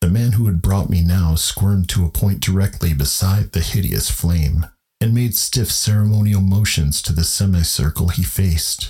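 The voice has a dark, mellow tone and is somewhat breathy, with ordinary pitch variation and very even loudness. It moves at a moderate pace with hardly any pauses. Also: man, very deep, low pitch for a man. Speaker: podcast host and narrator. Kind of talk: literary horror audiobook narration.

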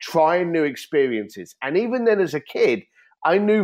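Someone speaks at a fairly slow pace in an East London accent. The background is quiet. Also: man. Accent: East London (Cockney-tinged) English. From East London, England. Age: 50s. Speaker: entrepreneur and author. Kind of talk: podcast interview.

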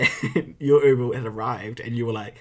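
With a New Zealand accent, a man with a medium pitch and a somewhat breathy voice speaks at a fairly quick pace with ordinary pitch variation. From provincial New Zealand. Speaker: podcast co-host. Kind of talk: casual chat.

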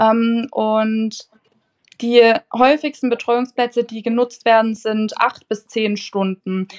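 With a Saxon accent, a woman speaks at a very slow pace in a fairly high pitch and monotone, flat intonation, the sound dry and close with no echo. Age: 20s. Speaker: nursery teacher. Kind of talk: casual interview.

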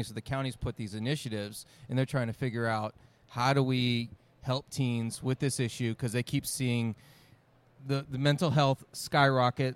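A man at medium pitch, moderate pace and ordinary pitch variation, in a dry, close sound with no echo. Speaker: podcast host. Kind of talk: casual chat. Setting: convention with crowd nearby.

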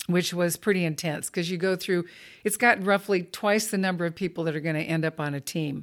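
A woman with a Southern California accent speaks at a fairly quick pace, her pitch fairly low and her intonation fairly even. The recording is very clean, with a silent background. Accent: General American (Southern California). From Los Angeles County, California. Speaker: Olympic rower and athlete-rights advocate. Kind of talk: interview conversation.

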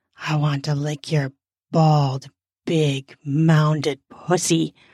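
Using a put-on character voice, a woman speaks very slowly in a low pitch with little pitch movement and a slightly mellow tone, the sound dry and close with no echo. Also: very clean recording, silent background.

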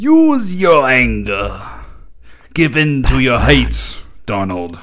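Fairly slow, put-on character voice from a man. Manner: menacing, commanding.

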